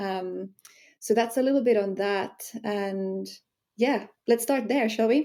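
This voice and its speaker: With a dark, mellow tone and a fairly high pitch, a woman speaks at a fairly slow pace with ordinary pitch variation and long, frequent pauses. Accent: Finnish. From Finland. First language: Finnish. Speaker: sensuality empowerment coach. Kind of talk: podcast interview.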